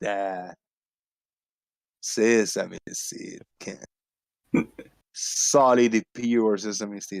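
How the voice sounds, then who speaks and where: Speaking very slowly with long, frequent pauses, a man uses a fairly low pitch and ordinary pitch variation in a dry, close sound with no echo. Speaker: live-stream show host. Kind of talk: casual chat.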